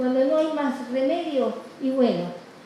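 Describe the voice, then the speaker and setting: Audible room echo and noticeable background noise surround a woman speaking at a high pitch. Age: 80s+. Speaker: activist nun. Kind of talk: award acceptance speech. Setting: legislature hall with audience. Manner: halting, many fillers.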